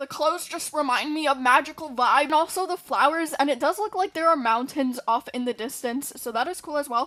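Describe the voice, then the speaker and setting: Animated in tone, a woman talks at a high pitch and a fairly quick pace with hardly any pauses. Her pitch varies in an ordinary way. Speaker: gaming YouTuber. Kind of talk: casual video commentary.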